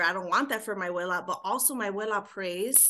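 In a Chicago accent, a woman with a bright, sharp tone, medium pitch and ordinary pitch variation speaks at a fairly quick pace against a quiet background. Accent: Chicago American English. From Chicago, Puerto Rican community. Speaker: ministry founder. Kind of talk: casual chat.

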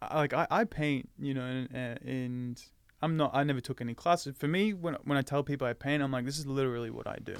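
On a very clean recording, silent background, a man with an Australian accent speaks at a fairly quick pace and fairly high pitch with ordinary pitch variation. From Australia, Melbourne. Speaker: actor. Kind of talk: casual interview chat.

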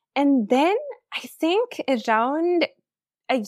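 On a very clean recording with a silent background, a woman with a Tamil accent speaks very slowly, her pitch swinging very widely. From South India. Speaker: fanfiction writer. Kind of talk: casual interview.

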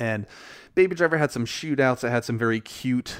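A plain, everyday voice moves at a fairly quick pace with ordinary pitch variation, on a very clean recording with a silent background. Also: man. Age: 30s. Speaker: podcast host, film reviewer. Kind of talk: solo podcast monologue, film review. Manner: casual, many filler words.

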